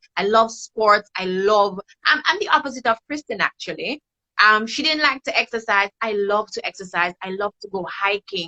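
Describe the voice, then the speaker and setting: With a bright, sharp tone and lively intonation, a woman speaks at a moderate pace and a fairly high pitch in a dry, close recording with no echo. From Saint Lucia. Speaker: guest panelist, mother. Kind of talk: casual chat.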